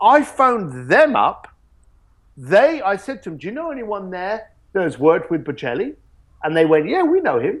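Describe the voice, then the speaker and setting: In a very clean recording with a silent background, a man with a London accent speaks at a moderate pace, his high voice making very wide pitch swings. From East London, England. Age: 40s. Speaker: luxury experience company founder. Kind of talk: interview.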